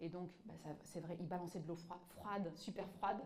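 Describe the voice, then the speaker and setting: A woman with a North African accent talks at a moderate pace and medium pitch. Her pitch varies in an ordinary way, and room echo is audible. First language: Tamazight (speaking French). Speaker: author and activist. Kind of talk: public talk with audience. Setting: museum exhibition with live audience. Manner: halting, many fillers and repetitions.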